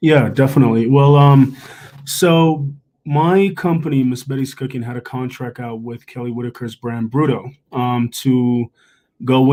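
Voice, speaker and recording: With a Jamaican accent, a man speaks at a moderate pace. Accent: Jamaican, trips on some words. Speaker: chef. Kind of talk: panel discussion.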